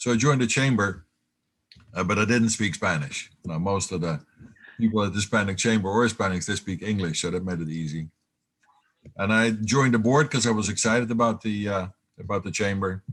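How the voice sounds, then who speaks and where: In a Dutch accent, a man with a fairly low pitch talks at a fairly quick pace. He uses ordinary pitch variation and takes long, frequent pauses. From Netherlands. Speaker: business owner. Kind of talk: interview. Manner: halting.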